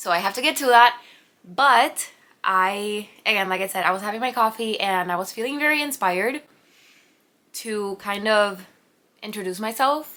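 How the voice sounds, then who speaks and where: In a very clean recording with a silent background, a woman with a Spanish accent speaks in a bright, sharp tone. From Puerto Rico. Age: 20s. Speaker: vlogger, pharmacist and artist. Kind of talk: casual vlog introduction. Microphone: new camera audio being tested.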